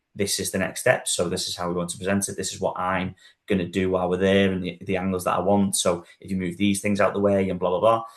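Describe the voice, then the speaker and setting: A man with a Liverpool accent and a very deep, low pitch talks very fast in a monotone, flat way, with hardly any pauses. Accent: Scouse. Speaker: estate agent. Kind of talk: casual panel discussion. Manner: hesitant, with fillers and repetitions.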